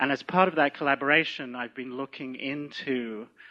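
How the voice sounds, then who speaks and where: A medium-pitched man with a British accent, fairly quick in pace, with ordinary pitch variation. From UK. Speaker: physician and movement teacher. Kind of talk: lecture introduction.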